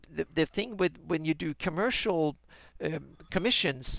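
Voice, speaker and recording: A man with a Swedish accent and a fairly high pitch is heard in a dry, close sound with no echo. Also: very clean recording, silent background. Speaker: fantasy mapmaker and podcast co-host. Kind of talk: casual chat. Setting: live stream. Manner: halting, many repeated words.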